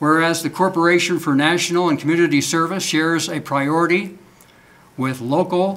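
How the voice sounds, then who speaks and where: Using a high pitch and fairly even intonation, a man speaks at a moderate pace. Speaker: vice mayor. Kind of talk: formal proclamation reading. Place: meeting room.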